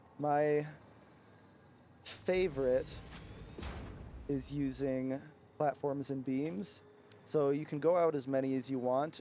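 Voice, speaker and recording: There is music in the background as a man speaks with fairly even intonation. He leaves long, frequent pauses. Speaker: gaming streamer. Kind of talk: live gameplay commentary and tutorial. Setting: livestream. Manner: occasional stutter from hearing own playback; casual, hesitant with many fillers.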